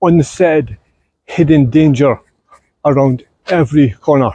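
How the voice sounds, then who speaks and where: With a slight Scottish accent, a man talks at a fairly slow pace in a fairly high pitch, his tone dark and mellow and his pitch variation ordinary. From Scotland. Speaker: vlogger. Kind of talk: casual vlog narration. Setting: outdoors.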